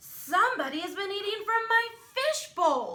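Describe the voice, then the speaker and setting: In a put-on character voice, a woman shouts and growls at an extremely high pitch with very wide pitch swings. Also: moderate pace. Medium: read story. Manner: shouting, indignant.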